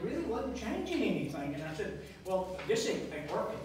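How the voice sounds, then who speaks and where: Strong room echo and noticeable background noise surround speech delivered at a fairly quick pace. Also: man. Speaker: candidate. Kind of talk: campaign speech. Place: cafe. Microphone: camera far.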